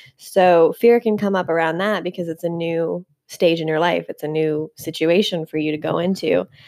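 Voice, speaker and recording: In a plain, everyday voice, a woman with a fairly low pitch speaks at a moderate pace with hardly any pauses and fairly even intonation, the sound dry and close with no echo. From Canada. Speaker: podcast co-host. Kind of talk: casual chat.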